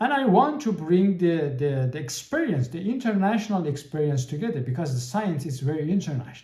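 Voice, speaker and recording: This man talks with a Persian accent in a dark, mellow tone. His pitch swings very widely. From Iran. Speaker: podcast host. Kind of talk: podcast monologue. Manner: halting, many repetitions and fillers.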